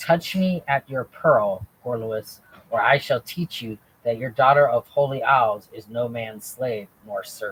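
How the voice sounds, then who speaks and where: A man performs a put-on character voice at a fairly slow pace and medium pitch, sounding furious and hissing. His loudness swings widely. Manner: hissing, furious.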